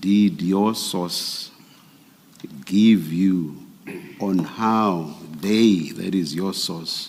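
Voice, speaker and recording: With a South African accent, a man speaks at a very slow pace in a very deep, low voice with ordinary pitch variation. His long, frequent pauses carry audible room echo. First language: isiXhosa. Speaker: commissioner at a public inquiry. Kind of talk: formal questioning of a witness.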